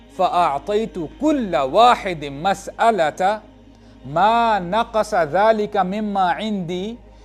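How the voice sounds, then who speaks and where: A man talks with ordinary pitch variation. Behind him, music plays. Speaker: Islamic preacher. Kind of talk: Islamic sermon (bayan) in Urdu with English phrases mixed in. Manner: emotional, devotional.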